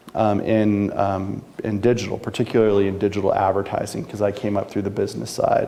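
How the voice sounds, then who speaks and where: Fairly low in pitch, a man speaks at a fairly quick pace. His intonation is monotone and flat. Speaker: news industry business executive and speaker. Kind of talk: talk to a live audience. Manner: fast.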